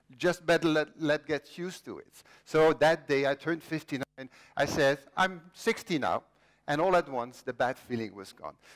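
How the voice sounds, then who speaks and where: A man with a Flemish accent speaks at a moderate pace with a fairly high pitch and ordinary pitch variation. The sound is dry and close with no echo, and his loudness swings widely. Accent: Belgian (Flemish) English. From Belgium. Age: 50s. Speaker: inventor. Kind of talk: conference talk. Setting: stage with audience.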